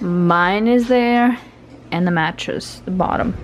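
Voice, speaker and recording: Over light background noise, a woman speaks at a very slow pace with ordinary pitch variation. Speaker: mother vlogger. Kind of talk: casual vlog chat. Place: home room. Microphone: phone near.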